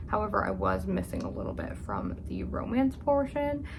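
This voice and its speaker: Soft-spoken at a moderate pace, a woman talks amid noticeable background noise and audible room echo. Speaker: book youtuber. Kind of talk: casual vlog monologue. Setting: at home upstairs.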